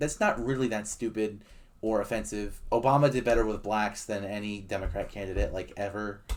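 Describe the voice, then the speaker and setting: Here a man speaks very fast, with hardly any pauses. His pitch varies in an ordinary way. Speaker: election prediction YouTuber. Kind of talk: casual political commentary to camera. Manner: rambling, hesitant.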